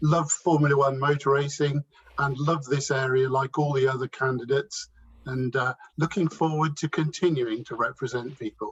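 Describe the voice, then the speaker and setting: A man with an East Midlands accent speaks at a moderate pace and fairly high pitch, somewhat breathy. His intonation stays fairly even, and the sound is dry and close with no echo. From Northamptonshire, England. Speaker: local election candidate, councillor. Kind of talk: candidate introduction at hustings.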